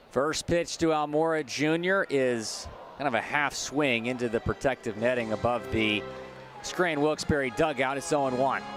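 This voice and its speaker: Music plays in the background as a man talks at a moderate pace in a medium pitch, with ordinary pitch variation and very even loudness. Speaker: minor league baseball broadcaster. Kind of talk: baseball play-by-play demo.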